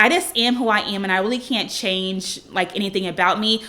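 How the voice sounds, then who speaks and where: A woman with a normal speaking voice talks at medium pitch, her pitch varying in an ordinary way. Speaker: lifestyle YouTuber. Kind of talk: casual Q&A vlog. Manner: bubbly.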